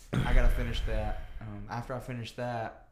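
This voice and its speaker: Noticeable background noise surrounds a man talking in a Southern US accent. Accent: country Southern. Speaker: podcast host. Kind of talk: casual chat.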